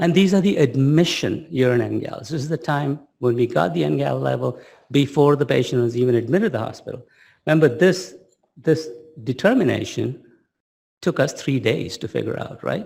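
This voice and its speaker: A man with a medium pitch and vocal fry speaks fairly quickly, his intonation lively. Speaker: pediatric kidney researcher. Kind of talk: lecture. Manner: animated.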